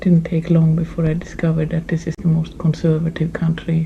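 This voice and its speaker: Over noticeable background noise, a woman with a fairly low pitch speaks in a monotone, flat intonation at a moderate pace. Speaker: immigrant interviewee. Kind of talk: personal anecdote.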